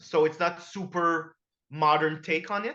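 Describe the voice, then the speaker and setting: A man's high-pitched voice carries a bright, sharp tone in a flat monotone. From Quebec. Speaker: comics podcast host. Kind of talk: casual chat.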